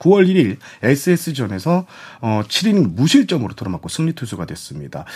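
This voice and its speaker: A man's fairly high voice with vocal fry, very wide pitch swings and big swings in loudness at a fairly slow pace, on a very clean recording with a silent background. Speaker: sports journalist. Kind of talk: panel discussion on baseball.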